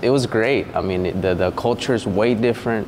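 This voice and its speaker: A man with a Spanish accent speaks at a medium pitch with fairly even intonation, with music playing in the background. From Veracruz, Mexico. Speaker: diesel mechanic and real estate agent. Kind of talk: casual interview chat.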